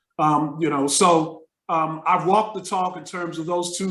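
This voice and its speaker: A man's flat, monotone delivery at a moderate pace, with audible room echo. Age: 60s. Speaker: retired business professor. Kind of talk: interview. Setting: video call.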